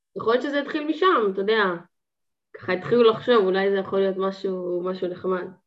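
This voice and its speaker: Her voice sits at a medium pitch for a woman. She speaks very fast. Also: ordinary pitch variation. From Israel, Haifa. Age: 20s. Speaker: student and gardening business owner. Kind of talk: casual chat.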